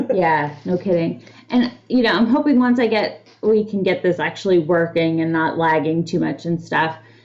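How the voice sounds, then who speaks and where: Noticeable background noise sits behind a woman with a fairly low pitch and lively intonation. She keeps a moderate pace with hardly any pauses. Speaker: podcast co-host. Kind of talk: casual chat. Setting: livestream studio, shared mic. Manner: loud.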